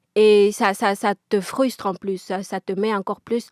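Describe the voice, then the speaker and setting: On a very clean recording with a silent background and a dry, close sound free of echo, a woman with a Congolese accent speaks with fairly even intonation. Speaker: interviewee. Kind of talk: testimony. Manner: halting, repeated words.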